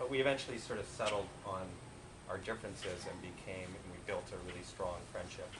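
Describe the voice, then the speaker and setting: A man in a Canadian accent talks at a fairly quick pace, with audible room echo and noticeable background noise. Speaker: eulogist at a memorial. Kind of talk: memorial speech. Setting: memorial gathering. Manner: talkative.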